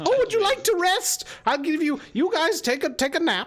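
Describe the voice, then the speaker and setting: The put-on character voice is croaky and squeaky at an extremely high pitch, moving at a moderate pace. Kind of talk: game master character voice. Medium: actual play. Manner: wheedling, eager.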